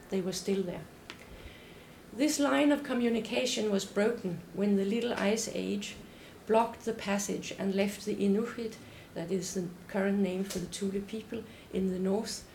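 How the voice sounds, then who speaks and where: Noticeable background noise sits behind a woman speaking at medium pitch and a moderate pace. She takes long, frequent pauses, with ordinary pitch variation. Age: old. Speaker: anthropology professor. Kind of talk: academic lecture. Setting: lecture hall with audience.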